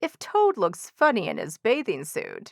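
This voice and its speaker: Putting on a character voice, a woman speaks at a moderate pace in a high pitch. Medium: read story.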